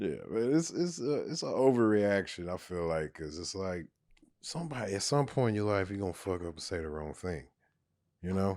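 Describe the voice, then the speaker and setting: The recording is very clean with a silent background. A man with a fairly low pitch speaks at a fairly quick pace with very wide pitch swings. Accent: American. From Texas Panhandle. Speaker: stand-up comedian. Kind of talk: podcast interview conversation. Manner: laid back.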